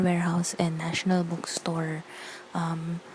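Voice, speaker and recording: A woman's fairly low-pitched voice over noticeable background noise. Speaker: booktuber. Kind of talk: casual vlog chat. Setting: living room at night. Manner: soft-spoken. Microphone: bad audio quality.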